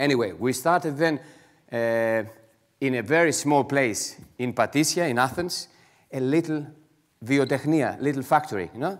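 At a moderate pace, a man speaks with a Greek accent and a medium pitch. His pitch variation is ordinary, and the background is quiet. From Greece. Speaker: entrepreneur; conference speaker. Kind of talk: conference talk. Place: hall. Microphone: headset.

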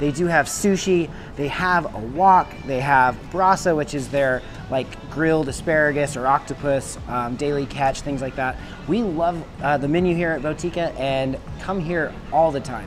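Clear music plays in the background as a man speaks at a moderate pace. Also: ordinary pitch variation. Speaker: travel host. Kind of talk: casual vlog presentation. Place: cafe. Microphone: lapel.

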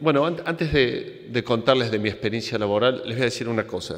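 In a Córdoba Argentine accent, the speaker goes at a moderate pace with ordinary pitch variation against a quiet background. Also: man. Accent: Cordoba Argentine accent, noticeable. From Argentina, Córdoba; Argentina. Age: 50s. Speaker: engineer and entrepreneur, conference speaker. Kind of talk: conference talk. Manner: hesitant, with fillers. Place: hall. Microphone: podium.

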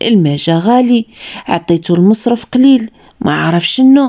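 A woman's dark, mellow voice at a fairly slow pace with lively intonation, on a very clean recording with a silent background. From Morocco. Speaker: storyteller. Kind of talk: first-person story narration.

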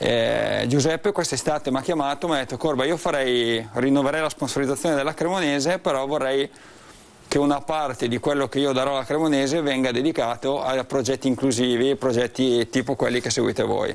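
A man with a fairly high pitch and an unremarkable speaking voice talks at a fairly quick pace, with fairly even intonation and very even loudness. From Cremona, northern Italy; Northern Italy. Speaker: charity project spokesperson. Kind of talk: interview. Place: shop. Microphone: lapel.

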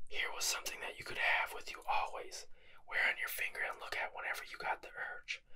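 Whispering and soft-spoken, a man talks at a fairly quick pace. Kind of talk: casual vlog chat. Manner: soft ASMR whisper reading aloud.

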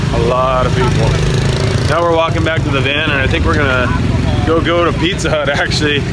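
Loud background noise surrounds a man's voice, and the sound is dry with no echo. He speaks at a fairly quick pace. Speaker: travel vlogger. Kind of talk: casual vlog chat. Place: market. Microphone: phone near.

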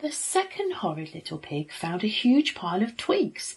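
Against a quiet background, a somewhat breathy woman speaks at a fairly slow pace in an animated, warm tone with very wide pitch swings. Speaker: teacher reading a story to children. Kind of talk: bedtime story reading aloud. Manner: animated, using distinct character voices; warm, expressive, child-friendly storyteller. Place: home room. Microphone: phone near.

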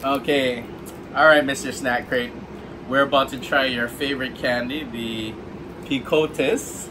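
Noticeable background noise sits behind a man who speaks at a fairly slow pace with fairly even intonation and long, frequent pauses. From Hawaii. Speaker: food writer and blogger, unboxing video host; unboxing vlogger. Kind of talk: casual unboxing vlog; casual vlog chat. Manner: hesitant, many filler words. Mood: cheerful, curious. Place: home room. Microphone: camera far.

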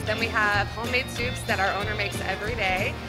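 A woman at a very fast pace, with clear music in the background. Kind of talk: interview answer. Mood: cheerful, smiling. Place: bar.

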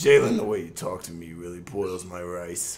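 In a put-on character voice, a man speaks with a very deep, low pitch, fairly even intonation, big swings in loudness and a moderate pace, with audible echo around him. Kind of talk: comic overacting. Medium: game stream. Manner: sassy, flirtatious, theatrical.

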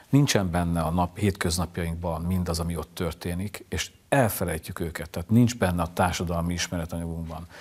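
This man's very deep, low voice moves at a fairly quick pace with fairly even intonation. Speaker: literary show host. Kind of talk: interview. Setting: studio. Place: studio. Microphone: lapel.

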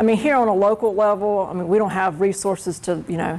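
A woman with an American accent, fairly quick in pace and fairly even in intonation. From North Carolina. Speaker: labor union representative. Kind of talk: classroom Q&A. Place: classroom.

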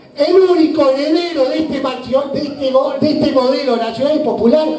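A man speaks at a fairly slow pace in an extremely high pitch. Light background noise and audible room echo are present. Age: 30s. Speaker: political activist; speaker. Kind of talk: political speech. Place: hall.

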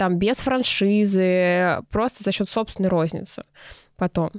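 A woman speaks in a dry sound with no echo. The background is quiet. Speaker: entrepreneur, clothing brand founder; podcast guest. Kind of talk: casual interview. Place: studio. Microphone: studio mic.

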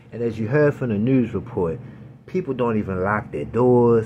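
The tone is animated, with ordinary pitch variation. The pace is moderate, and there is noticeable background noise. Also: man. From Baltimore, Maryland, US. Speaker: gun YouTuber. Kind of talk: casual tutorial. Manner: casual, animated.

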